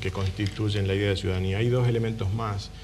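Faint music plays in the background as a man talks. His voice is fairly low, with fairly even intonation. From Tucumán, northwest Argentina. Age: 40s. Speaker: political candidate, economist; candidate. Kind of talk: radio interview. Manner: formal. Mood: earnest, explanatory. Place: studio. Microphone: lapel.

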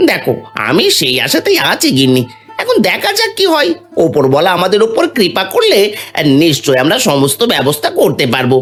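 A man's cartoonish character voice, high-pitched, at a moderate pace, with faint music in the background.

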